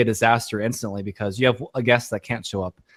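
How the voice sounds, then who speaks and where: A man speaks fairly quickly on a very clean recording with a silent background. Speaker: podcaster, guest on a podcast. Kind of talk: casual interview chat. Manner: fast, sometimes flubs words; hesitant, repeats words.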